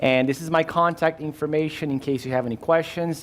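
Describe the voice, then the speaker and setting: A man speaks with a Brazilian Portuguese accent. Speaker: insurance agent and risk manager. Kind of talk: workshop presentation. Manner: halting, many fillers.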